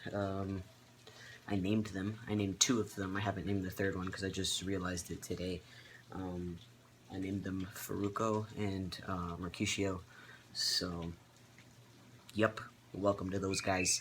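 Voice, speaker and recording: With a very deep, low voice, a man speaks at a moderate pace in a flat monotone, leaving long, frequent pauses. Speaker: vlogger. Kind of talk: casual vlog update. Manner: many filler ums, hesitant.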